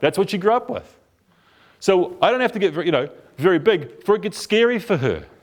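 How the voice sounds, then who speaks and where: A man with a New Zealand accent speaks at a fairly quick pace, his tone animated and his intonation lively. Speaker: couples therapist giving a talk. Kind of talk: talk to a group.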